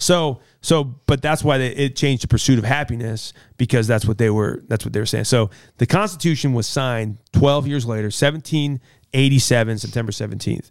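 A man with an American accent speaks at a fairly quick pace in an unremarkable speaking voice, with medium pitch and ordinary pitch variation. The recording is very clean, and the background is silent. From US Midwest. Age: 40s. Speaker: pastor. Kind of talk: casual chat.

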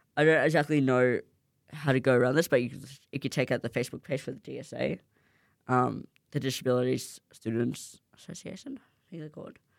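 With an Australian accent, this speaker talks at a fairly quick pace in a very clean recording with a silent background. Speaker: student radio host. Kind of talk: casual radio show. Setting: studio. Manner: fast.

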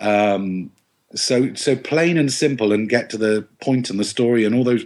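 Speaking in an English accent, a man has a medium pitch with ordinary pitch variation. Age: 40s. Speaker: TV and novel writer. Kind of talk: casual chat.

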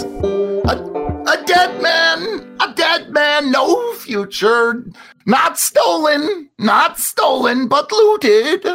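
At a very slow pace, a man performs a put-on character voice at an extremely high pitch, with faint music in the background. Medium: actual play. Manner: clipped broken phrases.

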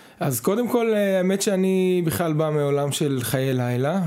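The speaker goes at a moderate pace with ordinary pitch variation, against noticeable background noise. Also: man. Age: 30s. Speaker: business consultant. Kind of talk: casual chat.

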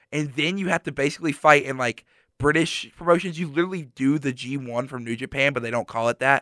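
A man speaks very fast in a bright, sharp tone. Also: dry, close sound with no echo, very clean recording, silent background. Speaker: college student guest. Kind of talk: casual chat. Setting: radio studio.

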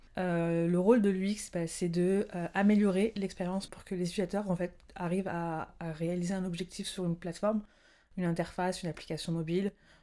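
On a very clean recording with a silent background, a woman speaks at a medium pitch and moderate pace in a dark, mellow tone with monotone, flat intonation. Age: 20s. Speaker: UX designer. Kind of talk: casual interview.

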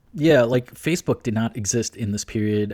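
This very clean recording has a silent background and a dry, close sound with no echo. A man speaks at a fairly quick pace with a medium pitch and a dark, mellow tone. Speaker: podcast host. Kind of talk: casual podcast conversation. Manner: casual, laughs often.

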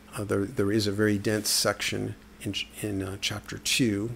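A man with a fairly low pitch is heard against noticeable background noise. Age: 50s. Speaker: writer. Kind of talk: casual monologue.

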